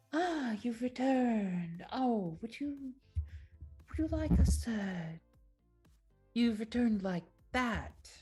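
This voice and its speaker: In a put-on character voice with fairly high pitch, the speaker goes very slowly with long, frequent pauses over faint background music. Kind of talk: polite. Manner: hushed.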